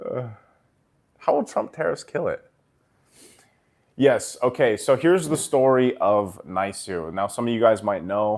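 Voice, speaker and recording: A man with an American accent speaks at a fairly slow pace, leaving long, frequent pauses. The recording is very clean, with a silent background. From Japan and US, Filipino heritage. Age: 30s. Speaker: esports commentator and streamer. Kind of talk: casual livestream chat. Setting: livestream. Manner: casual, conversational.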